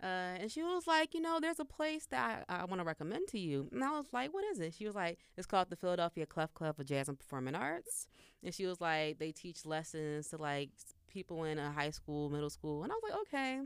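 A woman talks at a fairly quick pace with hardly any pauses. Her pitch is fairly low. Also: lively intonation. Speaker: singer-songwriter and college student. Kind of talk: casual interview chat.

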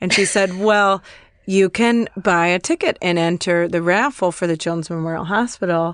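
A woman with an ordinary speaking voice talks at a moderate pace and medium pitch, with fairly even intonation. The sound is dry and close with no echo, over a quiet background. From US Midwest, Chicago. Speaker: comedian. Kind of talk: storytelling in casual chat.

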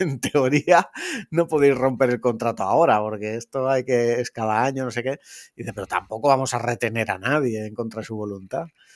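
An ordinary speaking voice comes at a moderate pace with ordinary pitch variation. The sound is dry and close, with no echo. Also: man. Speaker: podcaster. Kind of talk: casual chat.

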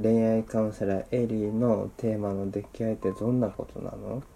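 Music plays behind a man with a fairly low pitch. His intonation stays fairly even. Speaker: podcast host. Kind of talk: casual chat. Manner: soothing.

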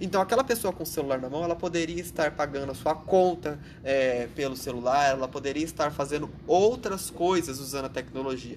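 This man has an unremarkable speaking voice, fairly high-pitched, with ordinary pitch variation. He talks at a fairly quick pace with hardly any pauses. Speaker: podcast co-host. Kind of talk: casual political discussion.

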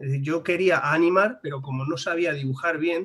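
Noticeable background noise under a man's fairly quick delivery. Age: 30s. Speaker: animation studio founder and blogger. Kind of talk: casual interview. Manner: animated.

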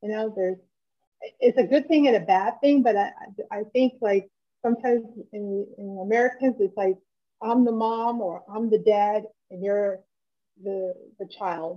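A dark, mellow tone at a moderate pace, with ordinary pitch variation, big swings in loudness and long, frequent pauses. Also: woman, fairly high pitch for a woman. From Germany and US (half German, half American). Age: 50s. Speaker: interview guest. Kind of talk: casual interview. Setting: remote call.

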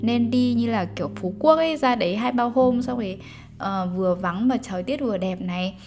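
A woman at a medium pitch with very wide pitch swings, moderate pace, music in the background. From Vietnam. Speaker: podcaster and life coach. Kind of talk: casual storytelling monologue. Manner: animated.

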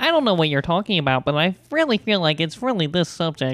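A woman puts on a nasal character voice with a fairly low pitch. She speaks at a very fast pace with very even loudness.

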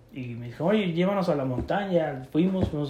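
The speech moves at a fairly quick pace with lively intonation, and audible room echo surrounds it. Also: man. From Mexico, State of Mexico. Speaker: podcast co-host. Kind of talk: casual chat.

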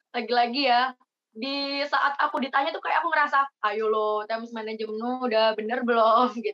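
Using a normal speaking voice, a woman talks at a fairly quick pace with ordinary pitch variation. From Indonesia, East Java (Jember). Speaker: university student, scholarship organization leader. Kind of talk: casual podcast interview.

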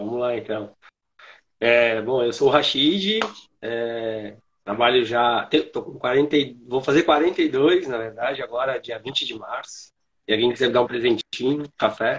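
A man speaks in an ordinary speaking voice at a medium pitch, with ordinary pitch variation and a fairly slow pace. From Santana do Livramento, Rio Grande do Sul, Brazil. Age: 40s. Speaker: coffee educator. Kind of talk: casual chat.

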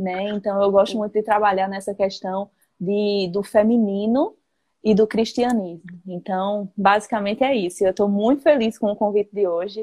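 Using fairly even intonation, a woman with a dark, mellow tone speaks at a medium pitch and a moderate pace. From Brazil, Northeast (Paraíba). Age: 20s. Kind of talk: casual faith conversation. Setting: Instagram live video call.

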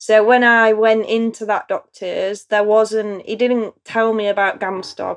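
A woman with a strong East Midlands accent and medium pitch. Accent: strong Derbyshire East Midlands English. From Chesterfield, Derbyshire, England. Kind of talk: interview about personal story.

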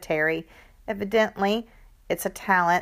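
An unforced reading voice is heard, with ordinary pitch variation.

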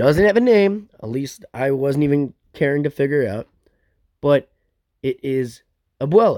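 Using lively intonation, a man talks at a fairly high pitch in a dark, mellow tone, with a dry, close sound and no echo. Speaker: film review podcaster. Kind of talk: casual chat. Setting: at home on couch. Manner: casual, halting.

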